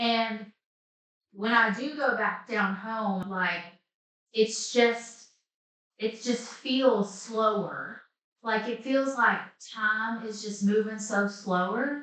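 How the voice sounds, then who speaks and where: With an Appalachian accent, a woman speaks at a very slow pace with long, frequent pauses, her fairly high voice keeping a fairly even intonation. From Southwest Virginia, Appalachia. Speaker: life coach. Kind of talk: casual talk to camera.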